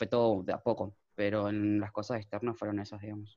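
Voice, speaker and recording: This man speaks at a very fast pace. His pitch is fairly low. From Argentina, Chaco. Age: 20s. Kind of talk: interview.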